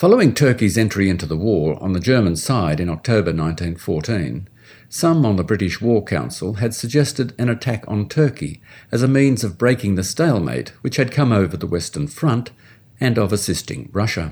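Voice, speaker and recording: With an Australian accent, the speaker talks fairly quickly with very wide pitch swings on a very clean recording with a silent background. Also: man, fairly low pitch for a man. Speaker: history professor. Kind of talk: scripted narration. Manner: formal.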